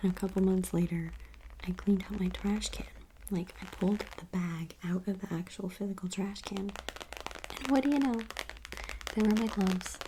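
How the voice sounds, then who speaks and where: A soft-spoken woman with a medium pitch talks at a moderate pace over noticeable background noise. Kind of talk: ASMR soft spoken ramble; casual talk to camera.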